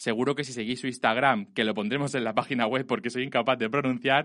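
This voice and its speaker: Over a quiet background, a man speaks fairly quickly at a medium pitch with a bright, sharp tone and ordinary pitch variation. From Spain, Elche. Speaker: podcast host. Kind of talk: casual chat. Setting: studio.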